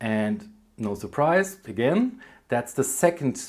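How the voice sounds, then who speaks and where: A man with a German accent, on a very clean recording with a silent background. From Germany. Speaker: book vlogger. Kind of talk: casual vlog, answering tag questions. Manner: hesitant, many fillers.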